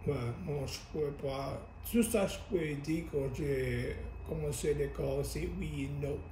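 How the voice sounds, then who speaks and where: A man speaks at a very slow pace. Light background noise and audible room echo are present. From Louisiana. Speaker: interviewee. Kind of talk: interview answer. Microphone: camera far.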